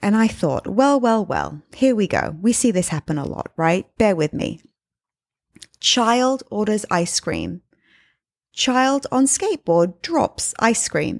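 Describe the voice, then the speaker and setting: The voice has a warm tone and lively intonation at a very slow pace. The recording is very clean and dry, with a close sound, no echo and a silent background. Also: woman, fairly high pitch for a woman. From England. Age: 30s. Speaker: podcast host and life coach. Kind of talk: solo podcast monologue. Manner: conversational, warm.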